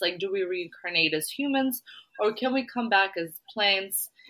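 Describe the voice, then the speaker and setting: A woman speaks with very wide pitch swings. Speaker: podcast co-host. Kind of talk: casual chat.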